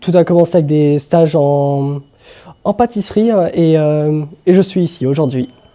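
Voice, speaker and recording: A man speaks at a fairly slow pace with ordinary pitch variation. His tone is dark and mellow, and his pitch is fairly high. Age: 20s. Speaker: baking apprentice. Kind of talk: interview self-introduction.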